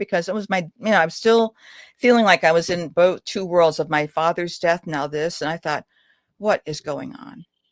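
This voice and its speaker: A woman speaks in a plain, everyday voice at a fairly low pitch with lively intonation and a moderate pace. The sound is dry and close with no echo, over a quiet background. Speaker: author and family historian. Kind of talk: radio interview answer.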